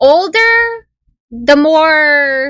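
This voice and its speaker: A woman's raised, projected voice has a bright, sharp tone and very wide pitch swings. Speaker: streamer. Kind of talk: casual chat.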